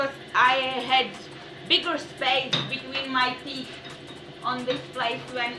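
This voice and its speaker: A woman with a non-native accent speaks very slowly in a raised, projected voice at a high pitch, with audible room echo and noticeable background noise. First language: not English. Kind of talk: casual chat. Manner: halting.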